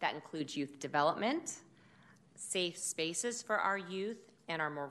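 A woman speaks at a moderate pace with a fairly low pitch. Her pitch varies an ordinary amount. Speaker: city department director. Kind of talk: budget presentation.

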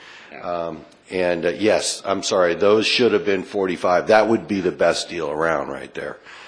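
A man speaks in a very deep, low voice at a fairly slow pace, his intonation fairly even, with noticeable background noise behind him. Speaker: city staff member giving reports. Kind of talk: formal public meeting.

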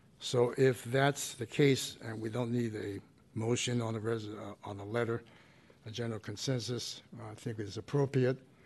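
This man's voice sits at a medium pitch and is somewhat breathy. His intonation stays flat and monotone. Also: moderate pace. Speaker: commission president. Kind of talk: chairing a public meeting. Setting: public commission meeting room. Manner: halting.

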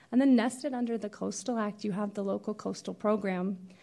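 A woman with an unremarkable speaking voice and a fairly high pitch talks at a fairly quick pace with ordinary pitch variation against a quiet background. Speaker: county coastal planner. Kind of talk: staff presentation with slides.

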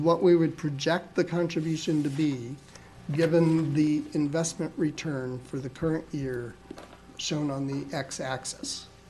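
Over noticeable background noise, the speaker talks at a fairly slow pace with fairly even intonation. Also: man, fairly high pitch for a man. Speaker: actuary. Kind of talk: presentation. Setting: public board meeting.

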